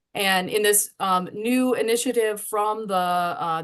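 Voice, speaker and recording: A woman talks in a normal speaking voice at a fairly high pitch. Her pitch varies in an ordinary way against a quiet background. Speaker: webinar host. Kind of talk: webinar host introduction.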